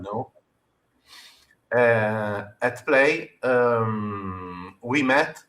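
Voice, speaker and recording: A man talks with an Italian accent. His pitch is fairly low, with ordinary variation. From Italy. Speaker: game designer. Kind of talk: interview. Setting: live stream. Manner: halting.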